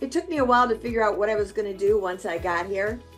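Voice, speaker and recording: With music playing in the background, a woman speaks using lively intonation. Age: 70s. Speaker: real estate agent. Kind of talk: interview answer.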